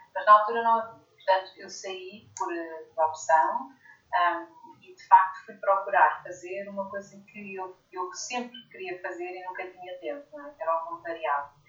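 A woman's plain, everyday voice at a medium pitch and fairly slow pace, with hardly any pauses, lively intonation and big swings in loudness. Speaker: leadership coach and author. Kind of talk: interview.

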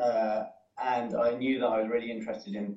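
Speaking with a British accent, a man talks at a moderate pace and medium pitch with ordinary pitch variation. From United Kingdom. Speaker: former diplomat. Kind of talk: career talk. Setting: video call from home.

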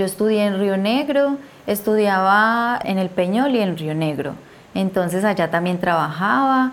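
A woman with an Antioquian accent talks at a fairly slow pace, her intonation lively. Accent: Colombian paisa (Antioquia). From Colombia, eastern Antioquia. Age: 30s. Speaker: beekeeper, conflict survivor. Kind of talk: interview testimony.

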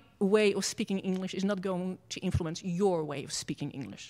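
The recording is very clean with a silent background. A woman speaks with a Dutch accent. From Netherlands. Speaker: professor. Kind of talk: lecture. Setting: stage with audience.

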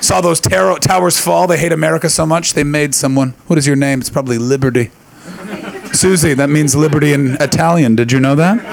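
Amid noticeable background noise, a man speaks at a fairly quick pace with a fairly high pitch, ordinary pitch variation and very even loudness. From Canada. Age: 30s. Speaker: comedian. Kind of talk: stand-up. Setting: stage with audience. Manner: animated.

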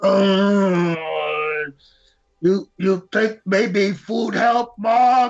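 A put-on character voice at a middle pitch, very slow pace and long, frequent pauses. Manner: broken simple speech, pained.

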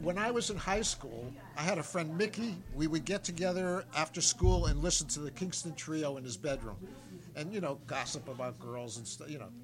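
Lively intonation marks this man's fairly high voice, delivered with an American accent over noticeable background noise. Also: moderate pace. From United States. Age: 70s. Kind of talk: casual chat. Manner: halting.

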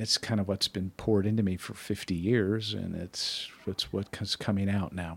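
Monotone, flat intonation in a fairly low-pitched male voice. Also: moderate pace, hardly any pauses. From US Midwest (Wisconsin). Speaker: church member, mentor. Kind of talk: interview about faith.

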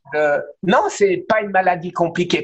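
At a very slow pace, a man speaks with a high pitch and lively intonation. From France, Alsace (Strasbourg). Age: 60s. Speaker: cancer survivor sharing his story. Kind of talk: testimony in interview.

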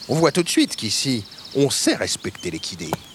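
Noticeable background noise sits behind a man's voice. He has a medium pitch and a moderate pace. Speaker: voice actor playing a retired racehorse. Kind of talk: dramatic character narration, a horse telling its story. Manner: animated, playful, chatty with humorous asides; conversational and proud, with a wry tone.

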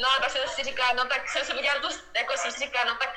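Against noticeable background noise, a woman with a high pitch talks at a very fast pace with fairly even intonation. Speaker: professional swimmer. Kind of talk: casual chat. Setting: video call. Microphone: poor sound quality.

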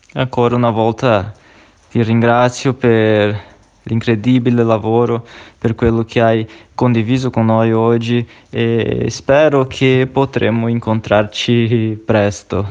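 Talking at a very slow pace, a man of medium pitch keeps a monotone, flat intonation. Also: very even loudness. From outside Italy. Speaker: radio show host. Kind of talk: interview. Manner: hesitant, with fillers.

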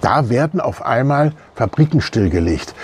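Very slow and somewhat breathy, a man speaks in a dark, mellow tone with very wide pitch swings. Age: 60s. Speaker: church member. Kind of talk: video statement. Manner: hesitant with many fillers.

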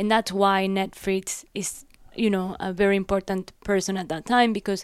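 This woman talks at a moderate pace with a Spanish accent, her pitch medium and her intonation fairly even. The recording is very clean, with a silent background. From Ecuador (Guayaquil). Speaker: art curator. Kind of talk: interview on stage. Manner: halting.

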